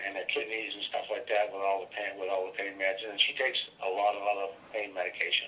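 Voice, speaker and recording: A man talks fairly quickly with noticeable background noise behind him. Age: 60s. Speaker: caller. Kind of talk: phone call about health problems. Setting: phone call. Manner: halting, many fillers and repeats.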